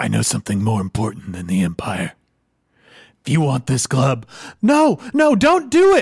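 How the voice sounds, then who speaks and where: Using a put-on character voice, a man speaks huskily at a moderate pace, broken by long, frequent pauses. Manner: nervous, evasive, babbling.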